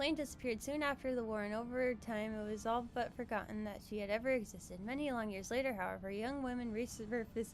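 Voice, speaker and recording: Very fast and with hardly any pauses, a woman speaks at a fairly high pitch with fairly even intonation. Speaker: gaming streamer (VTuber). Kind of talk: reading game text aloud during live stream. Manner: halting, stumbles over words.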